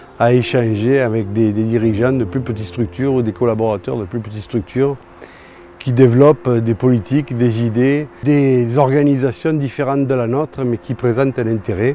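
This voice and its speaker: A man's medium-pitched voice comes through over clearly noticeable background noise. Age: 60s. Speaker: company director, house builder. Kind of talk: testimonial interview. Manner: halting, many hesitations.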